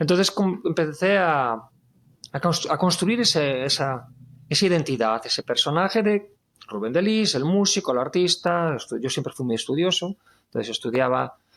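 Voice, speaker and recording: A man's high-pitched voice with a Galician accent, lively intonation and a moderate pace, on a very clean recording with a silent background. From Spain, Galicia. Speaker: guitarist and singer-songwriter. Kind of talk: testimony interview.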